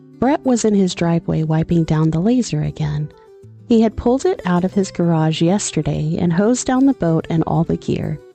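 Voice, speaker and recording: Over background music, the voice moves at a moderate pace with lively intonation and very even loudness. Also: woman, fairly low pitch for a woman. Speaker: audiobook narrator. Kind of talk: audiobook narration.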